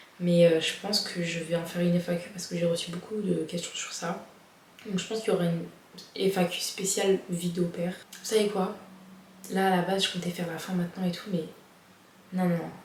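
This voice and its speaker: A woman's fairly low voice at a fairly quick pace, with noticeable background noise and audible room echo. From France. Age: 20s. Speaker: vlogger. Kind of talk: casual vlog. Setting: at home, before bed. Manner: animated.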